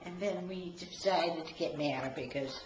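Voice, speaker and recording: Noticeable background noise behind a woman in a New England accent, with a fairly low pitch, lively intonation and a moderate pace. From Marlboro, Massachusetts. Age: 80s+. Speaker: great-grandmother. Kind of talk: interview answer.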